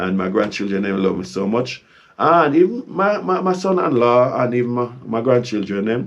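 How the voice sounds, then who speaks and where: This man's pitch swings very widely. He keeps a moderate pace. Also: medium pitch for a man. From Jamaica. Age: 60s. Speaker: traveler visiting Kenya. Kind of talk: casual interview.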